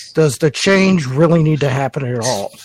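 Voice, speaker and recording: A man with an American accent, fairly high in pitch, at a moderate pace with ordinary pitch variation, in a dry, close sound with no echo. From North Carolina. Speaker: caller. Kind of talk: casual group discussion.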